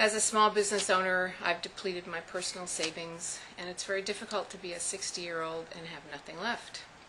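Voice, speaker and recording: A woman at a fairly quick pace with hardly any pauses, fairly even intonation and big swings in loudness, over noticeable background noise. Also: medium pitch for a woman. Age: 60s. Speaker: small business owner. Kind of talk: personal testimony.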